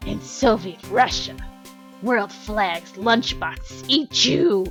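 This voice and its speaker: A female-sounding voice in a put-on character voice speaks at a very slow pace and medium pitch, with clear music in the background. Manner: goofy, exaggerated.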